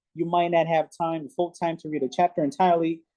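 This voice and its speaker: Someone with a Haitian accent speaks at a fairly quick pace. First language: Haitian Creole. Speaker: English learner. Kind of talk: conversation practice. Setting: video call.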